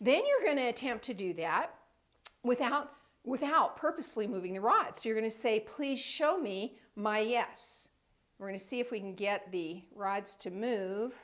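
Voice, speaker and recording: A woman with a plain, everyday voice, fairly high in pitch, with lively intonation at a moderate pace. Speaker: intuitive training center director. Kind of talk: tutorial.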